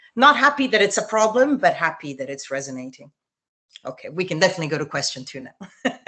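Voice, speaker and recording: Woman with an Italian accent at a very fast pace. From Italy. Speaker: journalist and TV news presenter. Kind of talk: interview answer. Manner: casual, conversational.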